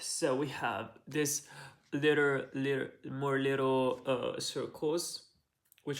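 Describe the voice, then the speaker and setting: At a fairly slow pace, a man with a fairly high pitch speaks in a monotone, flat intonation. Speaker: video essayist. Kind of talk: explainer monologue. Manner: halting.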